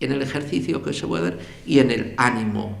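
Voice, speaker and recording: This man talks at a fairly slow pace in a somewhat breathy voice with ordinary pitch variation. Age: 80s+. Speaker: journalist and writer. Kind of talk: public lecture.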